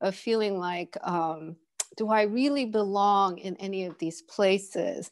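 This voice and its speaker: A woman with a Korean accent, speaking at a very slow pace against a quiet background. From Kenya (Nairobi), born in Seoul, Korea. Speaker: visual artist. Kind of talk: interview. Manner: hesitant, many fillers.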